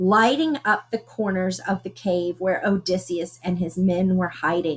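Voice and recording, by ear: The intonation holds fairly even. It belongs to someone reading aloud in a natural voice.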